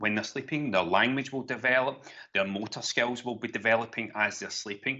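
At medium pitch, a man talks in a Glaswegian accent with ordinary pitch variation. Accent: Glaswegian Scottish. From Donegal, raised in Glasgow. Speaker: sleep consultant. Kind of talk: casual chat.

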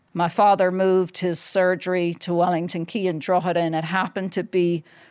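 Fairly low in pitch, a woman speaks with an American accent and monotone, flat intonation. The recording is very clean and the background silent. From Ireland. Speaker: former professional boxer. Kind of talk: interview. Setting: studio.

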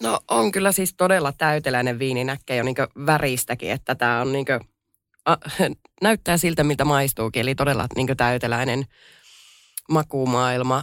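A woman with a very deep, low pitch speaks at a moderate pace with ordinary pitch variation and long, frequent pauses. The recording is very clean with a silent background and a dry, close sound with no echo. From Finnish Lapland. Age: 30s. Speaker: hospitality entrepreneur. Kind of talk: casual chat. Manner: hesitant, many fillers.

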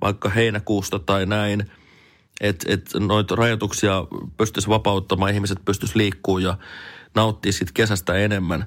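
A fairly low-pitched man on a very clean recording with a silent background. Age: 40s. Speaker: radio morning host. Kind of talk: personal audio diary monologue. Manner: casual, hesitant with filler words.

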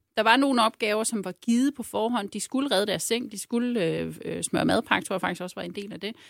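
Here a woman talks at a fairly quick pace, her fairly high voice showing vocal fry and ordinary pitch variation. The recording is very clean with a silent background and a dry, close sound with no echo. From Jutland, Ørnhøj. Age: 40s. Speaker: former local politician turned consultant. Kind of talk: casual chat.

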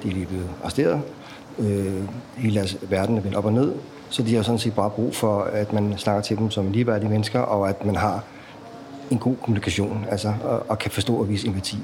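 A man with a fairly low voice talks at a fairly quick pace in a flat monotone, keeping his loudness very even against noticeable background noise. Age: 40s. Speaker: prison transport officer. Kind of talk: casual chat.

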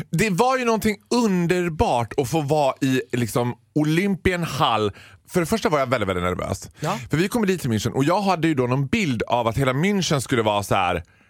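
With an animated tone, a man speaks in a fairly high pitch that makes very wide pitch swings. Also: fairly quick pace. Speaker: radio comedian. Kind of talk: casual chat. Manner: loud.

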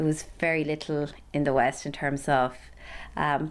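Here a woman talks in a western Irish accent with a very deep, low pitch. Her pace is moderate and her intonation monotone and flat. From County Galway, Ireland. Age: 30s. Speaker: Paralympic athlete. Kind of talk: interview.

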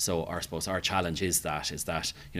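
This man speaks with an Irish accent at a very fast pace. His pitch is very deep and low. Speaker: hotel manager. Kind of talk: casual interview. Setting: hotel.

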